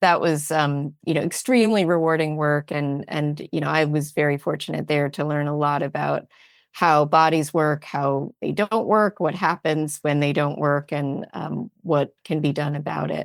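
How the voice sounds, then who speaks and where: A woman with a very deep, low voice speaks at a moderate pace with fairly even intonation and hardly any pauses, in a very clean recording with a silent background. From United States. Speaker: economist and wellness organization founder. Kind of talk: interview conversation. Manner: hesitant, many fillers and repeats.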